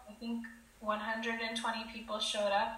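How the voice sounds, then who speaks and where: In a room with audible echo and noticeable background noise, a woman speaks in an American accent. Her pitch is fairly high, and her pace is fairly slow. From California, Silicon Valley. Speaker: entrepreneur, LinkedIn marketing agency founder. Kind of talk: interview.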